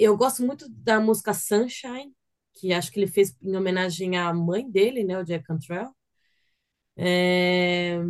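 A woman's ordinary speaking voice at a medium pitch and a fairly slow pace. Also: ordinary pitch variation. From Brazil, São Paulo. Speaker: metal guitarist and vocalist. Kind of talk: casual chat.

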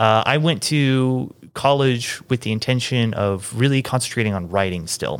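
In a very clean recording with a silent background, a man with an unremarkable speaking voice talks at medium pitch and a moderate pace, with ordinary pitch variation. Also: hardly any pauses. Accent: American. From US Midwest, Kansas City. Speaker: film electrician and camera operator. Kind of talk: casual chat.

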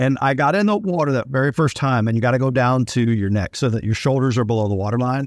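Recorded very cleanly against a silent background, a man with an ordinary speaking voice talks at a fairly quick pace and medium pitch, with ordinary pitch variation and a dry, close sound with no echo. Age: 50s. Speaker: podcast co-host, army veteran. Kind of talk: casual chat.

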